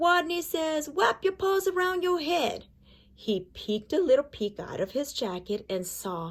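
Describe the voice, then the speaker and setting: In a squeaky, put-on character voice, a woman speaks at a high pitch with very wide pitch swings and a moderate pace, on a very clean recording with a silent background. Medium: read story.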